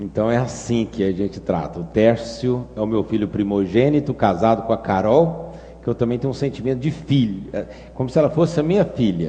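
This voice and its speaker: A man speaks at a medium pitch with lively intonation in a Minas Gerais accent, over noticeable background noise. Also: fairly quick pace. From Brazil, Minas Gerais. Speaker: pastor. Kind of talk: sermon.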